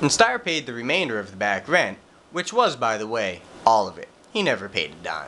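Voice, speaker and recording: There is noticeable background noise as a man talks at a moderate pace, his pitch swinging very widely. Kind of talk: reading prepared statement.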